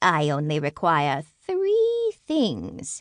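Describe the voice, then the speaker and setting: A woman's put-on character voice over a quiet background. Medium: read story. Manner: sweet but sly.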